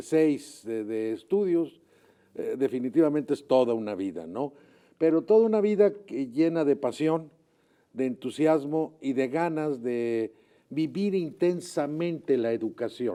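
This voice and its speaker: This man's dark, mellow tone sits at a fairly high pitch, moving at a fairly slow pace with lively intonation. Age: 70s. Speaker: retired teacher and education official. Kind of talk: interview. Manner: halting.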